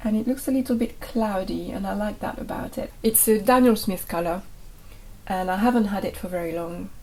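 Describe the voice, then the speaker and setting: Somewhat breathy and fairly high in pitch, a woman with a French accent talks at a fairly quick pace with ordinary pitch variation. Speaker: botanical art teacher. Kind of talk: tutorial.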